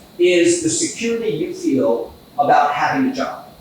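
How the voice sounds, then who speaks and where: A man talks at an extremely high pitch, his voice swinging very widely up and down. Noticeable background noise and audible room echo fill the recording. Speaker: economist. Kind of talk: conference talk. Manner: fast.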